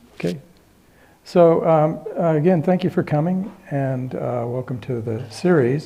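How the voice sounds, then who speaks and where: Soft-spoken, a man talks at a fairly slow pace with lively intonation and fairly high pitch. Room echo is audible. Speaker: retired physicist and Buddhism teacher. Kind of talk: lecture. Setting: stage with audience. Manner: halting, many fillers.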